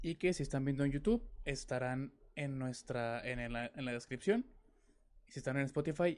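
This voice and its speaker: A man's ordinary speaking voice, medium in pitch, with ordinary pitch variation at a moderate pace. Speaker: podcast host. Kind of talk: casual chat. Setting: live stream.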